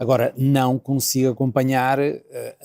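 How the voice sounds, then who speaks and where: The man speaks at a fairly slow pace. His tone is dark and mellow. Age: 60s. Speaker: designer and professor. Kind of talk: interview conversation. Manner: halting, many fillers.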